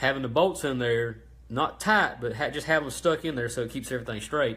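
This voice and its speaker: With a Southern US accent, a man talks at a fairly quick pace, his medium pitch showing ordinary pitch variation. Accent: Southern US (Georgia). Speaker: small engine parts business owner. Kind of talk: live-stream tutorial. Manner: halting, lots of ums and stutters.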